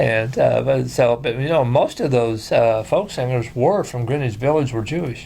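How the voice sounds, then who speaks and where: A man with an Ozarks accent at a moderate pace, hardly any pauses, noticeable background noise. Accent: Ozarks rural Southern American. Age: 60s. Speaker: talk show host and country singer. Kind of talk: casual interview chat.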